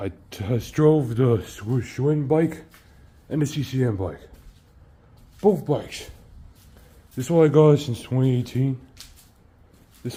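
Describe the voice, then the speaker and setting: Somewhat breathy and dark, mellow in tone, a man speaks at medium pitch with lively intonation and long, frequent pauses. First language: not English. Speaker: bike vlogger. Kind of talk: casual video review. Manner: halting, repetitive.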